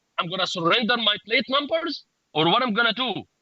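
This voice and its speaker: A man speaks in a raised, projected voice at an extremely high pitch, with lively intonation and a bright, sharp tone. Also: dry, close sound with no echo. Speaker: rideshare driver. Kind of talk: press conference speech. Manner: loud; halting.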